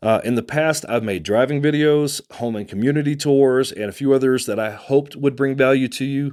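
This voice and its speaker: Recorded very cleanly against a silent background, a man speaks with a Texan accent. His pitch is medium with ordinary variation, and his pace is moderate. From Texas. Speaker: real estate agent and channel host. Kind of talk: casual vlog address to camera.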